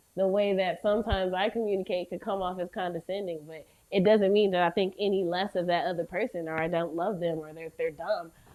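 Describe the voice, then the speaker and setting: Speaking with hardly any pauses, a woman uses a medium pitch and fairly even intonation in a slight Southern US accent. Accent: slight Southern drawl. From US South. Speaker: podcast host. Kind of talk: casual chat.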